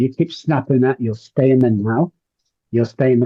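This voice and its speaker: Somewhat breathy, a man talks in a medium pitch. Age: 60s. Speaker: addiction recovery coach. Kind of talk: interview. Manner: animated.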